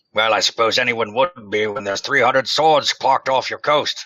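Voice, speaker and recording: A man's put-on character voice, raspy and at a medium pitch, delivered at a fairly quick pace with a dry, close sound and no echo. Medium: actual play. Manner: jovial, clipped upper-class politeness.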